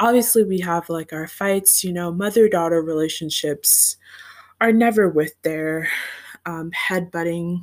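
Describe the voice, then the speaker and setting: It is a plain, everyday voice, belonging to a woman with a fairly low pitch. She speaks at a fairly slow pace with ordinary pitch variation. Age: 20s. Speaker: podcaster and grad student. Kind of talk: casual monologue. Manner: giggly, frequent laughter.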